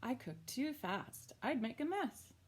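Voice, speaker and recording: Putting on a character voice, a woman speaks fairly slowly at a fairly high pitch. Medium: read story.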